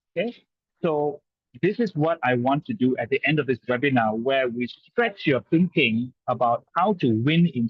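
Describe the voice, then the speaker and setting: A somewhat breathy voice speaks with lively intonation. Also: man. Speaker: sales trainer. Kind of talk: webinar presentation. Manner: animated.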